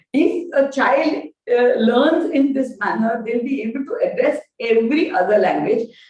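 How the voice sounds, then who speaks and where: A woman's high-pitched, lively voice with a Gujarati accent. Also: moderate pace. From India, Gujarati-speaking. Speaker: education professor. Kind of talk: lecture.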